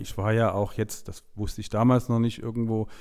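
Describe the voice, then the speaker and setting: The recording is very clean, with a silent background. A man speaks at a moderate pace in a medium pitch with a dark, mellow tone. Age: 40s. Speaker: IT manager and NLP course graduate. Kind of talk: interview testimony.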